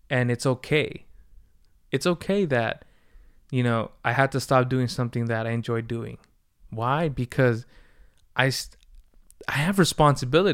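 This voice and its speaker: Speaking at a moderate pace with long, frequent pauses, a man uses a medium pitch and ordinary pitch variation on a very clean recording with a silent background. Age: 20s. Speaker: podcast host. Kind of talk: casual solo monologue. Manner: casual, laid-back.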